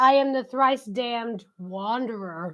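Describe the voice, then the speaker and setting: Using a put-on character voice, a woman bellows in a guttural, fairly high-pitched tone at a fairly slow pace, with ordinary pitch variation. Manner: bellowing.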